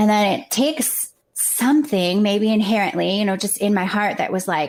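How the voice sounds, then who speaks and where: At a moderate pace and a medium pitch, a woman talks in an ordinary speaking voice. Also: ordinary pitch variation. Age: 40s. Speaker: guest sharing life story. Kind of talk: interview conversation.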